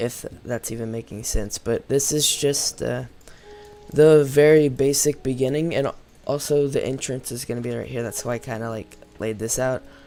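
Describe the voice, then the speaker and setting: Music in the background behind a man at a medium pitch, fairly even in intonation, at a moderate pace. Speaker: gaming YouTuber. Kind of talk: let's play commentary. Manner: casual, many fillers.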